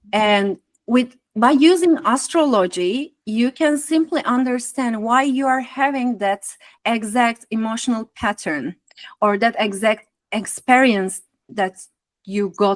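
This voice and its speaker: An ordinary speaking voice with lively intonation moves at a fairly slow pace, with a dry, close sound and no echo. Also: woman. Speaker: astrologer and spiritual artist. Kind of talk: guest talk.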